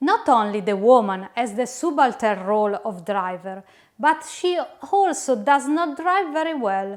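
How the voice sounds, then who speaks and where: This woman speaks with an Italian accent, her high pitch rising and falling in very wide swings at a fairly slow pace. The recording is very clean, with a silent background. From Italy. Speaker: educator / instructional designer. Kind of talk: lecture. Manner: formal.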